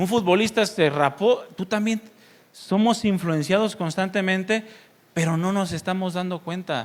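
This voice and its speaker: This man has a high-pitched voice. His pace is fairly slow. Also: ordinary pitch variation. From Mexico, Sinaloa (Mazatlán). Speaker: pastor. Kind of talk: sermon.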